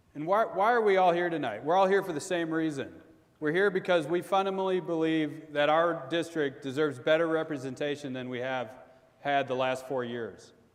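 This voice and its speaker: Speaking with an American accent over noticeable background noise, a man uses a fairly high pitch, ordinary pitch variation and a fairly quick pace. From Minnesota. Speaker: congressional candidate. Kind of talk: debate closing statement. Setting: auditorium with audience.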